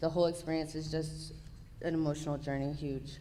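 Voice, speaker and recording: Amid audible room echo, a woman talks fairly quickly in a fairly low, monotone, flat voice. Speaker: program participant giving testimony. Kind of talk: testimony.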